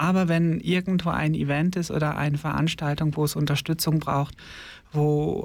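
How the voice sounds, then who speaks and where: On a very clean recording with a silent background, a man speaks at a moderate pace in a fairly high voice with fairly even intonation. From Germany, Ostwestfalen-Lippe (North Rhine-Westphalia). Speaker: drag nun / queer activist. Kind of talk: radio interview. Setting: studio.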